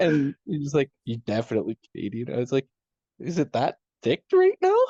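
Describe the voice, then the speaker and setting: A man's somewhat breathy, dark and mellow voice at a moderate pace, with ordinary pitch variation and a dry, close sound with no echo. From Canada. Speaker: disc golf podcast co-host. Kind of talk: casual chat. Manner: animated.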